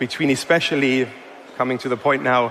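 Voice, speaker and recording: The speaker has a German accent, with noticeable background noise in the recording. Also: man. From Germany. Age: 40s. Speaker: investor and entrepreneur. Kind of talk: conference talk. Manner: hesitant, many fillers.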